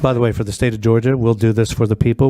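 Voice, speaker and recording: A man's voice over noticeable background noise. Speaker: technical expert witness. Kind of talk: testimony. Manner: loud; animated.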